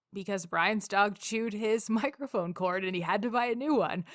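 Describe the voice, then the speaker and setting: An unremarkable speaking voice, a woman talks at a moderate pace with ordinary pitch variation. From Canada (Calgary, Alberta). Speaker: podcast host. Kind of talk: casual chat.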